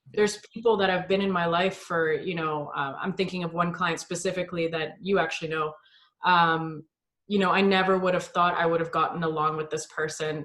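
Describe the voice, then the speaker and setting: This is a woman speaking. Her pitch is fairly low and her intonation monotone and flat. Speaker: fitness coach. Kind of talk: casual chat. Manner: loud.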